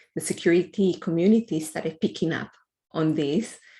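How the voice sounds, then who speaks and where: Speaking at a fairly slow pace with a non-native accent, a woman has a fairly low, dark, mellow voice with ordinary pitch variation. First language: not English. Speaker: computer science researcher. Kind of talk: interview answer.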